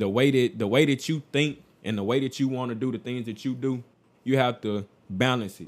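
A man talks in a normal speaking voice at a fairly quick pace. His pitch is medium, with ordinary pitch variation. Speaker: podcast co-host. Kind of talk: casual chat.

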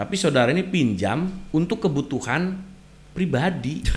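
A man's fairly high-pitched voice with vocal fry. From West Java, Sumedang. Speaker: legal consultant. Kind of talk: radio legal advice talk. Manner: hesitant, many fillers.

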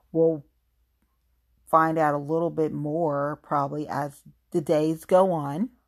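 A very slow delivery in a Southern US accent, with long, frequent pauses and fairly even intonation, on a very clean recording over a silent background. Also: woman, very deep, low pitch for a woman. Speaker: podcast host. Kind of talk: solo podcast monologue. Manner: informal, emotional.

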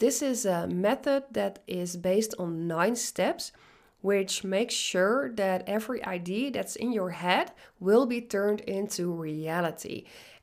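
In a very clean recording with a silent background, a woman with a medium pitch speaks at a very slow pace with lively intonation. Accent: Dutch. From Netherlands. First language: Dutch. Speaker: business coach. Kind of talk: podcast monologue.

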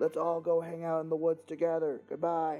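Over faint background music, a man puts on a high-pitched character voice. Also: moderate pace. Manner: creepy, luring.

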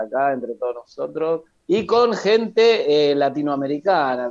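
A man with an ordinary speaking voice, lively intonation and a fairly slow pace. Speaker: podcast co-host. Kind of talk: casual chat.

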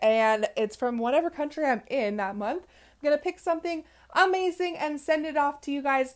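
On a very clean recording with a silent background, a woman with an American accent sounds animated, her intonation lively. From US West Coast. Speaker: podcast host. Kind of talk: motivational monologue.

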